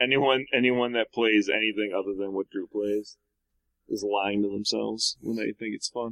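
This man has an ordinary speaking voice, fairly low in pitch, with fairly even intonation at a moderate pace. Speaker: podcast co-host. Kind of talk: casual chat.

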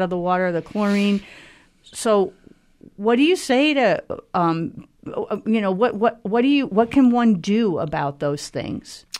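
Here is an ordinary speaking voice from a woman at medium pitch. She keeps a moderate pace. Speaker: radio host. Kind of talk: radio interview. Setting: studio.

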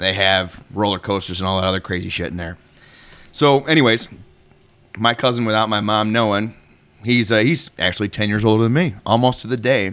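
In a very clean recording with a silent background, a man with an American accent and a normal speaking voice talks at a fairly quick pace, his fairly low pitch showing ordinary variation. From Chicago area, US Midwest. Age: 30s. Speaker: metal podcast co-host. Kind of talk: casual chat.

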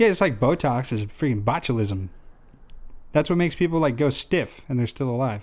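Talking at a fairly quick pace, a man with an American accent uses lively intonation at a medium pitch in an unremarkable speaking voice. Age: 20s. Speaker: podcast co-host. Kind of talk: casual chat.

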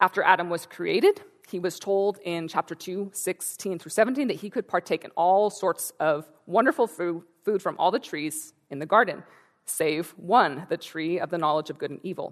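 With an ordinary speaking voice, a woman in an American accent talks at a moderate pace at medium pitch with ordinary pitch variation, the sound dry and close with no echo against a quiet background. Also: big swings in loudness. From Northern California. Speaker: church speaker. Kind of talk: sermon. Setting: church.

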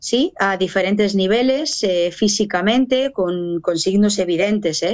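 A plain, everyday voice from a woman, medium in pitch, at a fairly slow pace with ordinary pitch variation. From Basque Country, Spain (Barakaldo, Biscay). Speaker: pro-life activist and speaker, former abortion clinic worker. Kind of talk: testimony.

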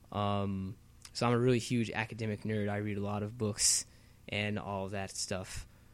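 In an ordinary speaking voice, a man talks at a moderate pace with a fairly low pitch. The recording is very clean, with a silent background. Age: 20s. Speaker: podcast co-host, university student. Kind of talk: casual chat.

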